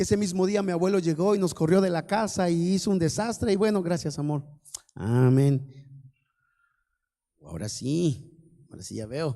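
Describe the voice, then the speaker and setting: In a very clean recording with a silent background, a man with a high pitch speaks at a moderate pace with lively intonation and long, frequent pauses. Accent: Veracruz. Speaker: preacher. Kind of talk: sermon. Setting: church service.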